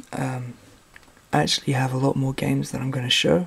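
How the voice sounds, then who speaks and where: Soft-spoken whispering against noticeable background noise. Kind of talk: softly spoken ASMR show-and-tell about video games; casual talk to camera. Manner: soft-spoken, whispery.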